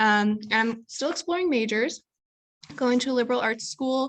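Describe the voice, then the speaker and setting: Against a quiet background, a woman talks at a moderate pace with ordinary pitch variation in a normal speaking voice. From US Midwest, Chicago. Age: 20s. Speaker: college student. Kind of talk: panel talk. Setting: video call.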